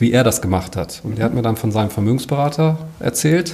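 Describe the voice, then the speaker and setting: A man speaks at a medium pitch and a moderate pace. Noticeable background noise runs underneath. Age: 50s. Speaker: financial adviser. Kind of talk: interview.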